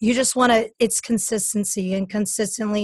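The delivery is somewhat breathy with fairly even intonation, in a dry, close sound with no echo. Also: woman. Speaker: podcast host and fitness coach. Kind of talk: casual interview.

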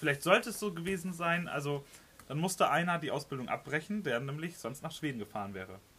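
A man's very fast, lively delivery with a fairly high pitch and a bright, sharp tone. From northern Germany. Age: 20s. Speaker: emergency response team leader. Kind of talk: casual chat. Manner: hesitant, many fillers.

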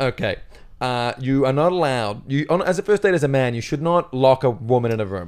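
An unremarkable speaking voice from a man at medium pitch, fairly quick pace and lively intonation, on a very clean recording with a silent background. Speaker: comedian. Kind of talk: casual chat. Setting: studio.

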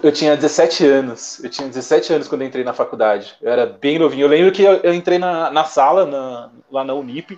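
A man talks at a moderate pace with hardly any pauses. His pitch is fairly high for a man, with ordinary variation. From São Paulo, Zona Leste (raised from age 7-8; born in Minas Gerais). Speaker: sales representative. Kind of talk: casual interview chat. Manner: hesitant with frequent repetitions.

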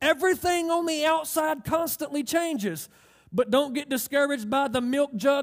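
At a moderate pace, a man speaks in an extremely high pitch in a very clean recording with a silent background. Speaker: pastor. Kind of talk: sermon. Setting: church with congregation. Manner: animated, call-and-response preaching; emphatic, repeating phrases for effect.

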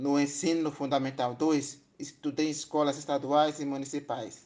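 Against a quiet background, a man speaks fairly slowly at a fairly high pitch, his intonation flat and monotone. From Brazil, Espírito Santo. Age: 30s. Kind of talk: personal testimony. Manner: formal.

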